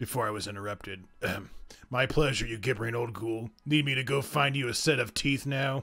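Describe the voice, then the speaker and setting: Using a raspy, put-on character voice, a man speaks at a fairly quick pace with fairly even intonation and a medium pitch. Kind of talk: gruff comic hero voice. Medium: actual play. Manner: sarcastic, impatient, insulting.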